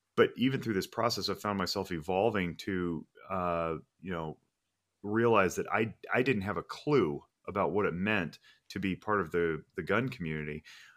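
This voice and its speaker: Using a normal speaking voice, a man with an American accent and fairly low pitch talks at a moderate pace with ordinary pitch variation, on a very clean recording with a silent background. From Reno, Nevada. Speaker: firearms safety trainer. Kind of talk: casual chat.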